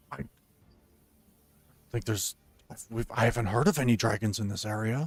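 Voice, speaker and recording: This man puts on a raspy character voice at a medium pitch. He talks at a fairly quick pace. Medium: actual play. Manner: hesitant, stammering.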